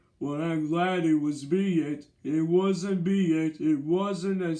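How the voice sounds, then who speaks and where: Using a put-on character voice, a man speaks at a fairly slow pace and a high pitch. His intonation stays fairly even. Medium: read story.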